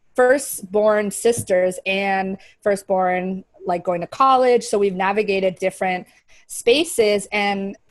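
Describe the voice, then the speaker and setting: A woman with a medium-pitched voice speaks at a very slow pace. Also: ordinary pitch variation. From US, partly raised in Paraguay. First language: Spanish. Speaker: video podcast co-host. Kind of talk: casual chat.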